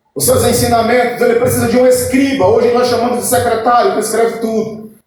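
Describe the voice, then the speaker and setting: A man speaks at an extremely high pitch in a monotone, flat intonation. Room echo is audible. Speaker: pastor. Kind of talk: sermon. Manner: fast.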